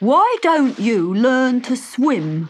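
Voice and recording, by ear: A woman's put-on character voice, fairly high in pitch, very slow, with big pitch swings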